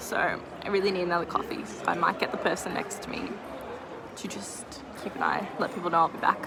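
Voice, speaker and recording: A woman whispers very fast in an Australian accent, with long, frequent pauses and big swings in loudness. Audible room echo and noticeable background noise fill the recording. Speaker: artist vlogger selling at a market. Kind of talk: vlog talking to camera. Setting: market stall with customers. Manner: chatty, fast.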